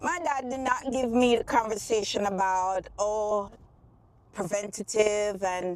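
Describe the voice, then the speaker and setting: A woman's animated, fairly high voice in a strong Jamaican accent, at a fairly slow pace with ordinary pitch variation. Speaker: public health doctor, channel host. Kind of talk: casual educational vlog. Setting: outdoors near construction site.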